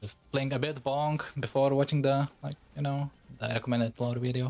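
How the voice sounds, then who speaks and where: In a Lithuanian accent, a man speaks at a moderate pace and a fairly high pitch, his intonation monotone and flat. The sound is dry and close, with no echo. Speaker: VTuber game streamer. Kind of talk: casual livestream chat. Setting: livestream. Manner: casual, halting with fillers.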